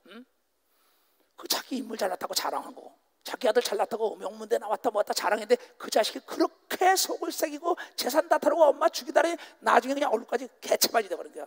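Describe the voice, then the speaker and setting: At a very fast pace, a man speaks at an extremely high pitch with very wide pitch swings and big swings in loudness, in a dry, close sound with no echo. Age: 60s. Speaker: pastor. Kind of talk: sermon. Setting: stage with audience. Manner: animated.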